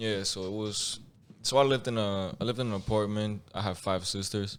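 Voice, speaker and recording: In a very clean recording with a silent background, a man speaks with a Spanish accent at a fairly quick pace. His pitch is fairly low and his intonation fairly even. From Mexico. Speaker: podcast guest. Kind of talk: casual chat. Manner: halting, many repeats and restarts.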